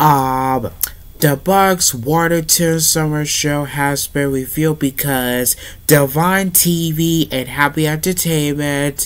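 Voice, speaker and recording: Delivered very slowly, the speech keeps a fairly flat intonation. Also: man. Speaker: vlogger. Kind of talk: casual vlog chat. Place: home room.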